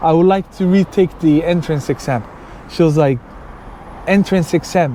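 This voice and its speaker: A man with a high-pitched voice and ordinary pitch variation speaks over noticeable background noise. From Sweden, Somali background. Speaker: YouTuber. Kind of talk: personal storytelling. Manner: casual, with fillers.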